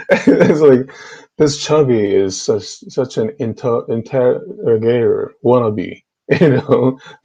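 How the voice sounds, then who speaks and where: A man speaks with a Korean accent. His pace is very slow. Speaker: YouTube debater on theology. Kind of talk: heated debate. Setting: online group video call. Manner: animated.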